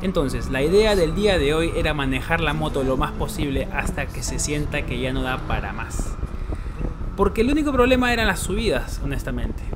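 Moderate pace, with music in the background. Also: man. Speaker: travel vlogger. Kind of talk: casual vlog chat. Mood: wry, mildly frustrated. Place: motorbike. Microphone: phone near.

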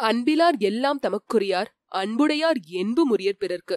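Using a plain, everyday voice, a woman speaks with lively intonation in a dry, close sound with no echo. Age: 30s. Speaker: audiobook channel narrator. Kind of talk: spoken tribute monologue.

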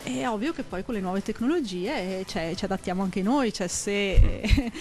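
Her medium pitch carrying lively intonation, a woman speaks at a fairly quick pace with light background noise. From Veneto, province of Vicenza; Veneto, Italy. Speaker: scout association regional leader; guest. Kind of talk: live TV talk show interview. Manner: halting, with repetitions. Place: studio. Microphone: handheld.

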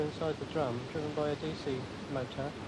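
Over loud background noise, a man speaks at a fairly high pitch. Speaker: amateur astronomer. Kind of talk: interview. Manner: soft-spoken. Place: garden. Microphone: quiet recording.

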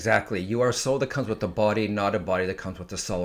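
Over a quiet background, a man has an ordinary speaking voice with a fairly low pitch and fairly even intonation. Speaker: psychic medium; podcast guest. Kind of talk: casual interview conversation. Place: home room. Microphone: studio mic.

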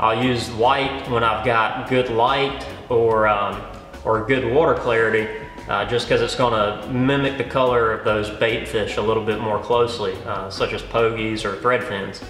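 Fairly even intonation at a moderate pace, with audible room echo and faint music in the background. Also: man. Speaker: fishing guide. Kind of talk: tutorial. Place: studio.

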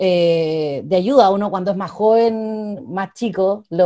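A woman with a Chilean accent, a dark, mellow tone and ordinary pitch variation, at a fairly slow pace against a quiet background. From Chile, Cauquenes (Maule region); Maule, Chile. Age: 20s. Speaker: political candidate and law student; candidate. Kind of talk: interview; interview answer. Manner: hesitant, with frequent repetitions and fillers. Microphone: earbuds.

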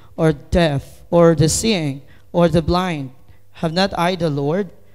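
Speaking very slowly with a Filipino accent, a man uses a high pitch and fairly even intonation. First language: Tagalog. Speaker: lay preacher. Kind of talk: sermon. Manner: halting.

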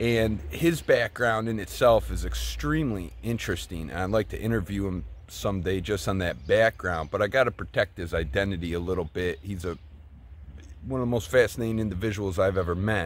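With vocal fry and a fairly low pitch, a man speaks in a dry recording with no echo over light background noise. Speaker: bookseller and YouTuber. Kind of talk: casual vlog. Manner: halting, repeats words. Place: open country. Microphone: phone near.

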